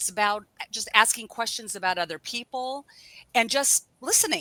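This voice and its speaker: The speaker is a woman with an ordinary speaking voice, fairly high in pitch, with ordinary pitch variation. She keeps a moderate pace, and the sound is dry and close with no echo. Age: 60s. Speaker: networking workshop guest speaker. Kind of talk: casual interview chat.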